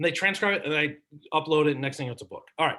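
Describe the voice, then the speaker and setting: This man has an American accent and a fairly high pitch. His tone is bright and sharp. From San Francisco Bay Area, California. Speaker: marketing consultant and speaker. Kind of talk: presentation. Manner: fast; animated.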